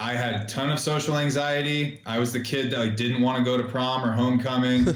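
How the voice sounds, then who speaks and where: A man at medium pitch and moderate pace, fairly even in intonation, with noticeable background noise and audible room echo. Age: 40s. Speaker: entrepreneur, social media marketing business owner. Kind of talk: casual interview chat.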